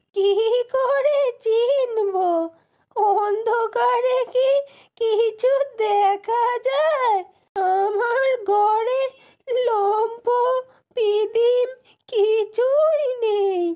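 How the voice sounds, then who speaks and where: Using a cartoonish character voice, a woman speaks at an extremely high pitch and very slow pace, with ordinary pitch variation and very even loudness. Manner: plaintive, rustic.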